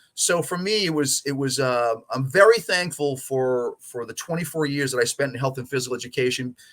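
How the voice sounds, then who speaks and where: A man talks at a fairly quick pace with hardly any pauses, in a normal speaking voice. He has an American accent and ordinary pitch variation. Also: fairly high pitch for a man. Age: 60s. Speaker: soccer coach and coach educator. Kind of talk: interview conversation.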